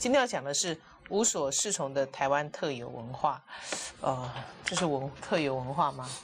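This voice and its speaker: Noticeable background noise sits behind a woman who leaves long, frequent pauses. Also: moderate pace. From Taiwan. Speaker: talk show host. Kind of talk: casual chat. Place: studio. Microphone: lapel.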